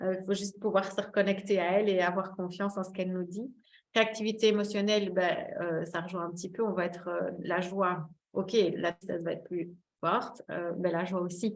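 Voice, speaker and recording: A woman's medium-pitched voice, flat and monotone, at a fairly quick pace. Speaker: wellbeing therapist giving a talk. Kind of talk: webinar presentation. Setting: online webinar. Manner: hesitant, many fillers.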